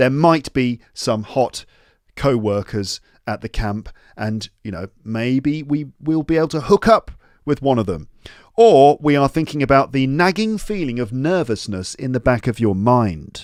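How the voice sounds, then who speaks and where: A man with a British accent speaks at medium pitch and a fairly slow pace, with very wide pitch swings, on a very clean recording with a silent background and a dry, close sound with no echo. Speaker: podcast host, English teacher. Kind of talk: educational podcast, reading story aloud with explanations. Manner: casual, with fillers and hesitations.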